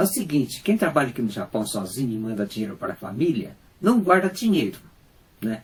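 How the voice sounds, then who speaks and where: A man talks in a somewhat breathy voice. His pitch makes very wide swings. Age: 60s. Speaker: unemployed factory worker with cancer. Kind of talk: personal testimony. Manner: halting.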